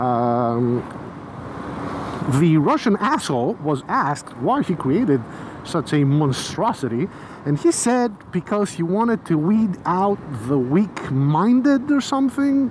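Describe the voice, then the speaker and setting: Someone with a Greek accent speaks at a very slow pace, leaving long, frequent pauses over noticeable background noise. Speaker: motorcycle vlogger. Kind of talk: casual vlog monologue. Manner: casual with frequent fillers.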